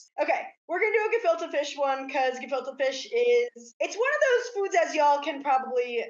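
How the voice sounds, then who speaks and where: A woman with an American accent, a moderate pace and very wide pitch swings. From US Midwest, St. Louis, Missouri. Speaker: game designer. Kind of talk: casual chat.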